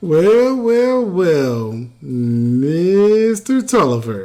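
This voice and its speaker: Drawling at a very slow pace, a put-on character voice at middle pitch makes very wide pitch swings, with audible echo. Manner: blustery, swaggering.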